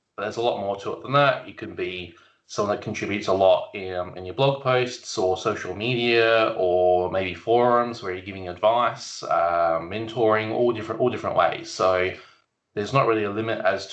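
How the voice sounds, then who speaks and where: Speaking with an Australian accent, a man uses a fairly low pitch with ordinary variation at a moderate pace, his loudness swinging widely amid audible room echo. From South Australia. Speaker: IT solutions architect. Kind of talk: podcast interview. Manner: casual, hesitant with fillers.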